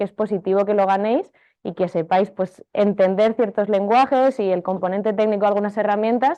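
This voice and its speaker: This woman has a dark, mellow tone and talks at a fairly quick pace. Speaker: marketing technology consultant and teacher. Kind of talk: workshop lecture. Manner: fast.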